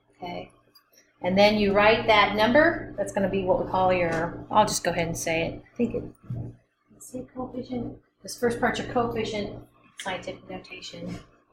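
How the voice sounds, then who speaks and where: A woman's voice has big swings in loudness. There is audible room echo. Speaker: chemistry instructor. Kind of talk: lecture. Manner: fast.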